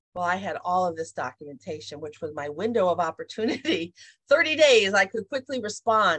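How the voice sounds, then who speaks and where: A plain, everyday voice moves at a moderate pace with lively intonation in a dry, close sound with no echo. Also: woman. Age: 50s. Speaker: leadership development consultant. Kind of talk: interview.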